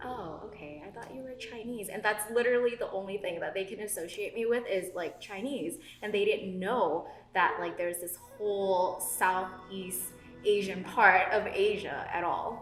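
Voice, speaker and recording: A woman speaks at a moderate pace and medium pitch with ordinary pitch variation and big swings in loudness. Music plays in the background, and room echo is audible. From Thailand, moved to US in first grade. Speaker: podcast co-host. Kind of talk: casual chat.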